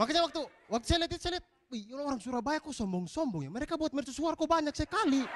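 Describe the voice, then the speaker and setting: Over noticeable background noise, a man with an extremely high pitch talks at a very fast pace in an animated tone with lively intonation. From eastern Indonesia, East Nusa Tenggara. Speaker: comedian. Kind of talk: stand-up. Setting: stage with audience.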